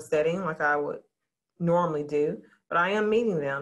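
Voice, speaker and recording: A woman with a Southern US accent speaks at a very deep, low pitch. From Louisiana, near Shreveport. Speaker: school principal. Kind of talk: interview.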